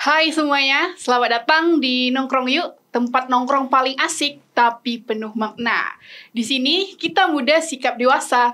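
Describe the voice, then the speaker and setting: A raised, projected woman's voice, high-pitched, bright and sharp in tone, with ordinary pitch variation and a fairly slow pace. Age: young. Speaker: podcast co-host. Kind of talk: show opening. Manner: animated.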